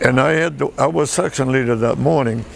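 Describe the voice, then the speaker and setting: A man with a medium-pitched voice talks at a moderate pace against noticeable background noise. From Michigan, US Midwest (early childhood in France). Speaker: war veteran. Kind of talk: oral history interview. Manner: halting.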